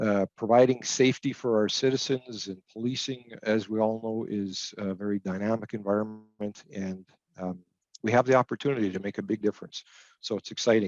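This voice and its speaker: This man speaks fairly quickly with a Canadian accent. His pitch is fairly low and his intonation fairly even. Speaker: municipal public safety director. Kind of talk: webinar presentation. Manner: fast.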